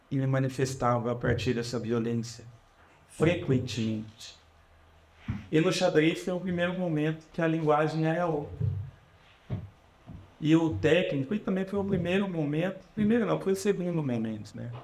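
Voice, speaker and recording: At a fairly slow pace, a man talks with lively intonation and long, frequent pauses, and audible room echo surrounds his voice. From Brazil, Curitiba. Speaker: politician. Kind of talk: public talk. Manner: casual, conversational.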